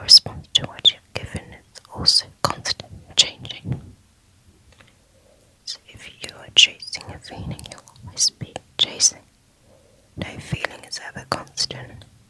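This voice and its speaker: A whispered, calm delivery at a fairly slow pace, with long, frequent pauses and noticeable background noise. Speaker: ASMR reader of Islamic books. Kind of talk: audiobook-style book reading for sleep, ASMR. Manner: inaudible whispering, soft and calm.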